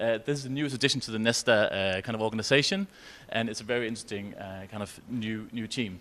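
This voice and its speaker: Someone with a Danish accent speaks at a very fast pace with lively intonation. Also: man. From Denmark. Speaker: researcher. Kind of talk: conference presentation. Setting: conference session with audience and interpreters.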